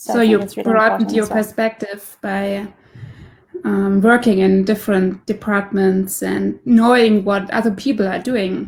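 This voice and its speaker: Somewhat breathy and medium in pitch, a woman speaks in a flat monotone at a moderate pace. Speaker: podcast host. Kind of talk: interview questions.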